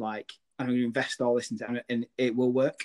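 The man talks at a fairly quick pace in a dry, close sound with no echo. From northern England. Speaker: podcast host. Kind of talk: casual interview chat.

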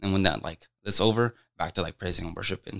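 This very clean recording, with a silent background and a dry, close sound free of echo, features a man with an American accent. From Des Moines, Iowa, US Midwest. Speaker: community church member. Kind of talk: casual chat.

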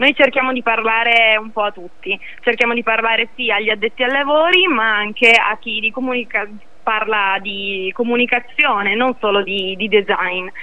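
This woman talks at a moderate pace with a fairly high voice and ordinary pitch variation. Noticeable background noise runs behind her. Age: young. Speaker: social media strategist. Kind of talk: interview.

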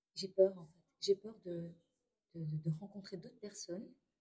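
A woman speaks at a very slow pace, her medium-pitched voice somewhat breathy with a dark, mellow tone. Her intonation stays fairly even. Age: 30s. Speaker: stay-at-home mother, trained care assistant. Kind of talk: testimony. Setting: restaurant during a brunch. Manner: quiet, hesitant.

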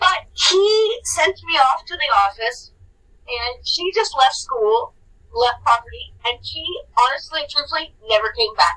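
A woman with a Californian accent uses a raised, projected voice at an extremely high pitch, her bright, sharp tone making very wide pitch swings at a fairly slow pace. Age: 40s. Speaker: podcast co-host. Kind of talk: casual storytelling chat.

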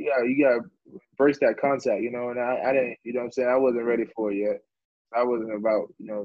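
A man with a plain, everyday voice talks fairly quickly at a medium pitch, his intonation fairly even. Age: 20s. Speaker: professional football running back. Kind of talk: casual interview.

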